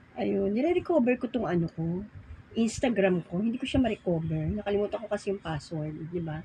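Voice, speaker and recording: A woman's dark, mellow voice with vocal fry, medium in pitch, fairly quick in pace and lively in intonation. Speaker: vlogger. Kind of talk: casual vlog chat. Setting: at home folding laundry.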